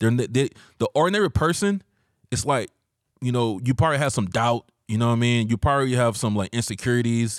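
With an American accent, a man speaks at a very fast pace, with ordinary pitch variation and very even loudness. Very clean recording, silent background. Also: medium pitch for a man, dry, close sound with no echo. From US South, Georgia. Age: 40s. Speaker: former photographer and studio owner. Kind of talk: casual chat. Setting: studio.

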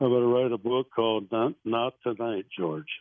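A man with an American accent speaks at a moderate pace and a medium pitch. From US Midwest. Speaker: war veteran. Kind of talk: casual chat. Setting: phone call. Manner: halting.

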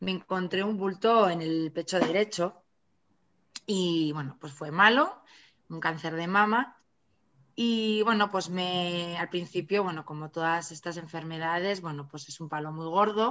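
A woman with a fairly low pitch and an unremarkable speaking voice talks at a fairly slow pace with ordinary pitch variation. Her loudness swings widely. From Navarra, Spain. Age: 40s. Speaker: author. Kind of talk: interview.

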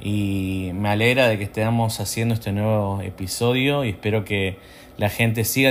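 A man speaks with an Argentine accent. His pace is fairly slow. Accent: Argentine Spanish (voseo). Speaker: channel host. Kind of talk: casual chat.

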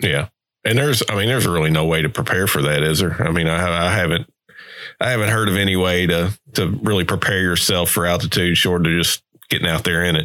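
A man with a very deep, low pitch, ordinary pitch variation, very even loudness, a very fast pace and a Southern US accent. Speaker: podcast host. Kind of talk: casual interview chat.

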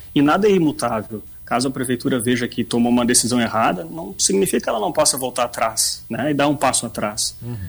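In a Rio Grande do Sul accent, a man talks at a fairly quick pace, with medium pitch and ordinary pitch variation. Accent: Rio Grande accent more than Bagé. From Bagé, Rio Grande do Sul, Brazil. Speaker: gym owner and former sports club president. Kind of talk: radio interview.

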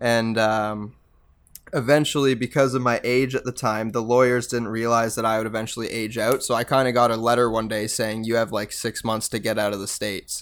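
A speaker with a Canadian accent talks at a fairly quick pace. The intonation stays monotone and flat. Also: man, medium pitch for a man. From Canada, Mississauga, Ontario. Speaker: post-hardcore band vocalist. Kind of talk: casual interview chat.

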